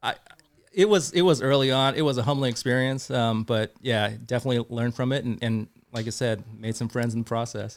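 Speaking with a Californian accent, a man keeps a fairly quick pace. His medium pitch shows ordinary variation. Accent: Californian American. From Northern California, South Bay. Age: 40s. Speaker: fishing tackle review site founder. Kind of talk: casual interview.

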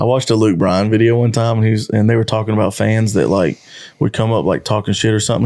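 A man is speaking. His pace is very fast. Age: 30s. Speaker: podcast co-host. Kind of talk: casual chat.

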